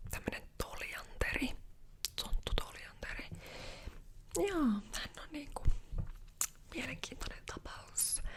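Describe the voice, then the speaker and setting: The voice is whispering, with long, frequent pauses. Its loudness rises and falls in big swings. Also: woman. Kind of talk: ASMR roleplay, casual chatty hairdresser talk. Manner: chatty, gossipy, casual.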